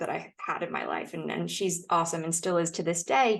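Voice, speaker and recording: This woman has an American accent and a fairly low pitch with some vocal fry. She talks at a fairly quick pace with ordinary pitch variation. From United States. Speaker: podcast guest sharing sobriety story. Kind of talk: casual interview chat.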